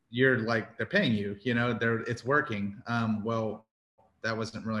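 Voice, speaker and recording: A man talks at a medium pitch and moderate pace, his intonation fairly even. It is an unremarkable speaking voice, set against a quiet background. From Houston, Texas. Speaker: barbecue restaurant owner. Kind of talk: casual interview.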